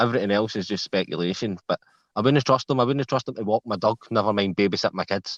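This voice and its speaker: In a Scottish accent, a man speaks at a very fast pace with a fairly low pitch. His pitch variation is ordinary, and the sound is dry and close with no echo. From Scotland, Glasgow south side. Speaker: live stream panel guest. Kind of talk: casual chat.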